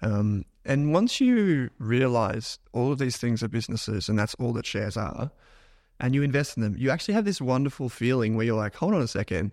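An unremarkable speaking voice from a man, medium in pitch, with lively intonation, a fairly quick pace and a very clean recording over a silent background. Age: 30s. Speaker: finance podcaster and investor. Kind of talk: casual chat. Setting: office.

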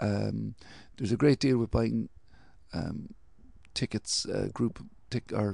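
A man speaks with a Cork accent. His pace is fairly slow. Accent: Cork Irish. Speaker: podcast host. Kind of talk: casual chat.

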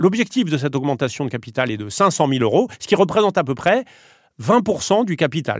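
A fairly high-pitched man at a moderate pace, with very wide pitch swings, on a very clean recording with a silent background. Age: 40s. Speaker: media company co-founder and president. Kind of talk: interview.

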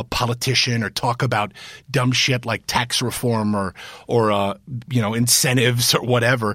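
In an American accent, a man with a normal speaking voice and medium pitch talks at a fairly quick pace on a very clean recording with a silent background. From US Midwest, Cincinnati. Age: 30s. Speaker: former congressman and TV news anchor. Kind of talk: interview.

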